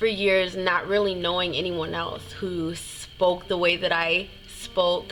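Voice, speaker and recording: With music behind her and audible room echo, a woman speaks very slowly at a medium pitch. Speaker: singer and vlogger. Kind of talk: personal testimony vlog. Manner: halting, with repetitions.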